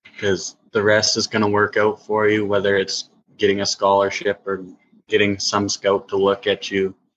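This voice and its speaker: Speaking at a moderate pace in a flat monotone, a man with a Canadian accent and a fairly low pitch sounds dry and close, with no echo. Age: 20s. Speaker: junior hockey goaltender. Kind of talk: podcast interview. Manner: hesitant, many ums.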